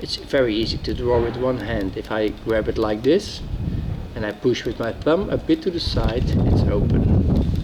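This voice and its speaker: A man talks at an unhurried, moderate rate while noticeable noise sits in the background. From Netherlands. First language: Dutch. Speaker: former soldier, outdoor hobbyist. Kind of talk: casual product talk to camera.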